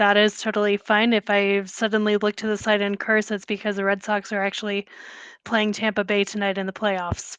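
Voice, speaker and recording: With an American accent, a woman speaks at a fairly quick pace and medium pitch in a monotone, flat way, the sound dry and close with no echo against a quiet background. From Boston. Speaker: writer. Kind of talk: interview answer.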